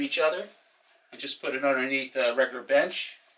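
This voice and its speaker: A plain, everyday voice from a man, fairly quick, with ordinary pitch variation. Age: 60s. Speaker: retiree, home gym enthusiast. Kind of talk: casual talk to camera, DIY demo.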